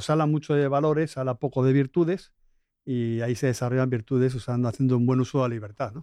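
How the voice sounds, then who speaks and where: A man talks very fast in a Spanish accent, with a medium pitch and fairly even intonation. His tone is dark and mellow, and the background is quiet. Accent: Spanish (Spain). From Spain, Madrid. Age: 50s. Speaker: business school director. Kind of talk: interview.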